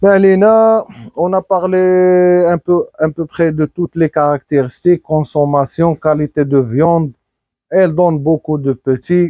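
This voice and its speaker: Speaking very slowly with a Moroccan accent, a man with a high pitch and ordinary pitch variation comes across in a dry, close sound with no echo. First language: Moroccan Arabic (speaking French). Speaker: livestock breeder. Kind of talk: casual vlog. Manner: halting.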